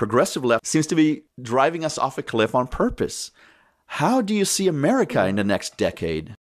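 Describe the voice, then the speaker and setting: With vocal fry and very wide pitch swings, a man speaks at a moderate pace and fairly high pitch in a very clean recording with a silent background. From immigrant, came to US at thirteen. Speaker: podcast host. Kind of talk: interview.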